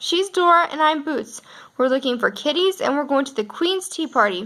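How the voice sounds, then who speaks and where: A woman puts on a character voice pitched high. She talks at a moderate pace. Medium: read story.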